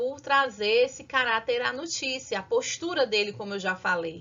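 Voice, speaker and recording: A woman with a northeastern Brazilian accent, fairly slow, with ordinary pitch variation. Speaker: school teacher. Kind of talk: lecture.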